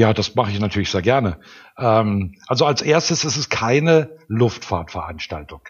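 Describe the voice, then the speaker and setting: A man speaks at a moderate pace with a medium pitch and lively intonation. His voice is somewhat breathy. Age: 60s. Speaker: airfield manager and pilot. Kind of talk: interview.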